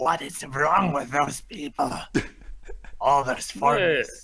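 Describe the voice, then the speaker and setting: In a raspy put-on character voice, a man speaks at a fairly slow pace. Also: fairly high pitch for a man. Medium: actual play.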